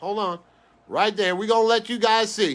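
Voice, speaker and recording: This man's high voice has an animated tone that sounds bright and sharp. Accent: New York. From New York. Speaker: sports card breaker. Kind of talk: live stream card break chat. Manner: fast.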